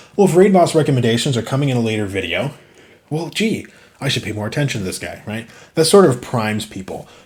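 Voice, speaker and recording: A man talks at a very fast pace in a medium-pitched, somewhat breathy voice. His pitch swings very widely and his loudness rises and falls sharply. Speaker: gaming YouTuber. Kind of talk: video commentary on own guide.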